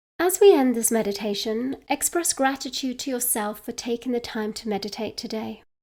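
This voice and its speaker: This woman speaks with a British accent in a dark, mellow tone. She moves at a fairly quick pace with ordinary pitch variation and hardly any pauses. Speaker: midlife coach. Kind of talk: guided meditation. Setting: outdoors.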